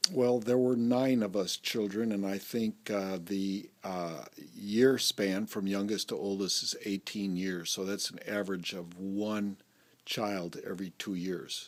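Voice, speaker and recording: An unremarkable speaking voice belongs to this man, who talks at a fairly low pitch. His pace is fairly slow and his intonation fairly even. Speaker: interview narrator. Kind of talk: casual family interview.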